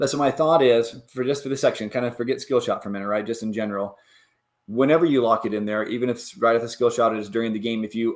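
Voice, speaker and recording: A male speaker, very fast, with fairly even intonation. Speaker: DIY pinball machine builder streaming. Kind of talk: live stream discussion with chat. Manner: casual, with fillers and repetitions.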